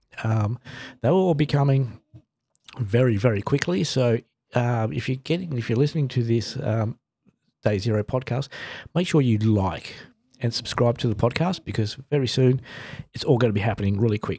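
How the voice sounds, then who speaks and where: The speech moves at a fairly quick pace with long, frequent pauses and ordinary pitch variation. The tone is dark, mellow and somewhat breathy, on a very clean recording with a silent background. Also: man, medium pitch for a man. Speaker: health podcast host. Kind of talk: casual solo podcast monologue. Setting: home studio. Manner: halting with frequent fillers.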